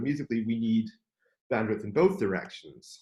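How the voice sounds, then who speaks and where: A man speaks with ordinary pitch variation. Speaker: composer and academic keynote speaker. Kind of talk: lecture. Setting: video call. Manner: many filler ums; loud.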